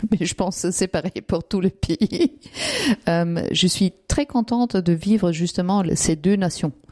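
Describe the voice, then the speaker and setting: At a fairly slow pace, a woman speaks at a medium pitch with a dark, mellow tone, ordinary pitch variation and very even loudness, in a dry, close sound with no echo. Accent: Austrian. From Austria. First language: German (Austrian) (speaking French). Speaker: immigrant interviewee. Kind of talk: interview testimony. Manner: hesitant, many fillers.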